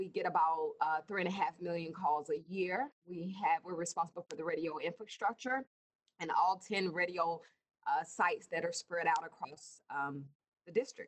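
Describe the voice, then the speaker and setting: In an American accent, a woman with an ordinary speaking voice talks at a moderate pace and a fairly low pitch, with ordinary pitch variation and a dry, close sound with no echo. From US South. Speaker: emergency services director. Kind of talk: interview.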